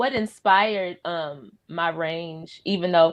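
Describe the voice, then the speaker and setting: A woman talks at a fairly low pitch. Her intonation stays fairly even. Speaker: singer. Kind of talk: casual chat.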